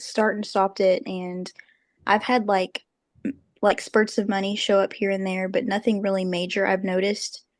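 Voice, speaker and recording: A woman with a Southern US accent and monotone, flat intonation. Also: medium pitch for a woman, moderate pace, quiet background. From Arkansas and North Carolina. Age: 20s. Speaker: book club member. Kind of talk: casual chat.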